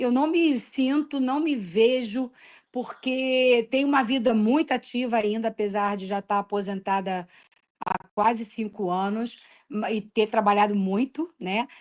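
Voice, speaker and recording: A woman with a plain, everyday voice and a fairly high pitch speaks at a fairly slow pace with ordinary pitch variation. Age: 60s. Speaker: retired school principal. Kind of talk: interview.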